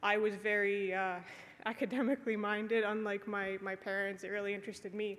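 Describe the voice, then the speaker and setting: In a Canadian accent, a woman talks at a fairly quick pace. Her medium pitch stays monotone, with flat intonation. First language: Polish. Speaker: conference panelist, early-career radiation scientist. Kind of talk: conference talk. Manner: casual with frequent fillers.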